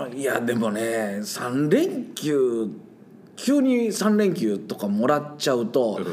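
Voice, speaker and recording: Very slowly, a man talks with very wide pitch swings. Audible room echo and noticeable background noise are present. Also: medium pitch for a man. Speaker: science teacher. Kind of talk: casual interview chat. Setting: sharing one microphone in a studio. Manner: laughs often.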